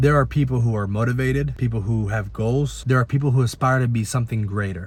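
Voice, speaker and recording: A man with an American accent speaks fairly quickly in a medium pitch that is somewhat breathy and varies in an ordinary way. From Italy, then US from age nine. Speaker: personal trainer. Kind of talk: personal story told to camera.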